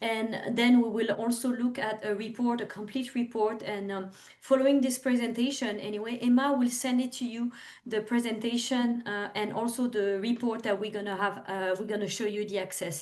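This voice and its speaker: Speaking at a moderate pace, a woman with a strong French accent has a fairly high pitch and fairly even intonation. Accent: thick French. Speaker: overseas trade representative. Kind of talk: webinar presentation. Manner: halting, many fillers.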